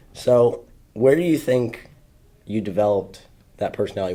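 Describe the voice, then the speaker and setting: The man's dark, mellow tone carries ordinary pitch variation. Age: young. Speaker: podcast host. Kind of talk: casual chat.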